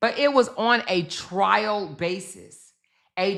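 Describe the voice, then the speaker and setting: Loud and animated, a woman speaks at a medium pitch with very wide pitch swings and vocal fry. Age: 50s. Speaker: YouTube commentary host. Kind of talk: casual commentary livestream.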